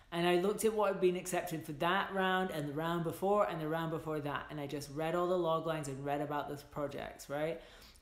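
A woman talks at a fairly quick pace and fairly low pitch, with ordinary pitch variation. Room echo is audible. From Scotland. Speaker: filmmaker and screenwriter. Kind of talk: livestream advice talk to viewers. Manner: casual, chatty with many fillers. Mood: warm, encouraging. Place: home room. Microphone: phone near.

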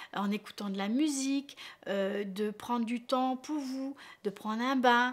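Speaking very slowly, a woman uses a high pitch with ordinary pitch variation. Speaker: relationship coach. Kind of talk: advice talk to camera. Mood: warm, encouraging. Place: home room.

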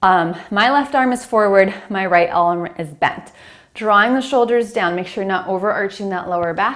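With a quiet background, a woman speaks at medium pitch and a moderate pace. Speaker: fitness instructor. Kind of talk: guided Pilates reformer workout, cueing exercises. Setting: home or studio with reformer, filmed video. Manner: calm, steady, encouraging; brisk, instructional, giving short commands. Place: home room.

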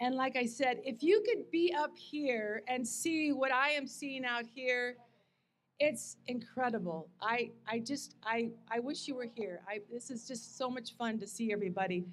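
Light background noise accompanies a woman with a high pitch. Her pace is fairly slow, and her pitch variation ordinary. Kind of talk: ceremony speech. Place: stage. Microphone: podium.

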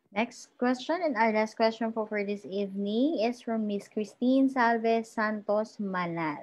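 Speaking in a Filipino accent, a woman has a fairly high pitch and ordinary pitch variation. She talks at a fairly slow pace with hardly any pauses. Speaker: webinar host. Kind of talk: formal introduction.

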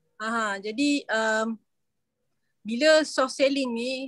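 A woman's high voice in a flat monotone, dry with no echo, over a quiet background. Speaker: university lecturer. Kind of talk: video meeting discussion. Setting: video call. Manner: halting. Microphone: video call.

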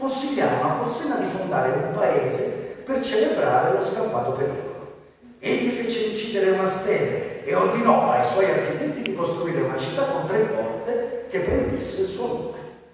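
There is strong room echo and light background noise around a man's voice. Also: moderate pace. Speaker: voice actor (dubbing). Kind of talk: storytelling of a legend to an audience. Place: hall.

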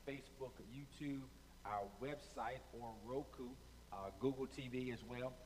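A man speaks at a moderate pace. His intonation is fairly even over light background noise. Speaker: pastor. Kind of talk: sermon opening, direct address to online viewers. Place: stage. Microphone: headset.

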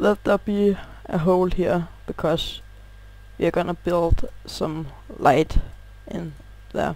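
A man's high pitch in a Danish accent, at a very slow pace with long, frequent pauses and fairly even intonation. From Denmark. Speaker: gaming youtuber. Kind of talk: gameplay tutorial. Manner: halting, pauses to find words.

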